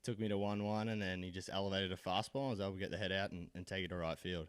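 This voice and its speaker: This man talks at a very fast pace in an Australian accent. His intonation stays fairly even. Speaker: college baseball player. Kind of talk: postgame interview. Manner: halting, with many repeated words.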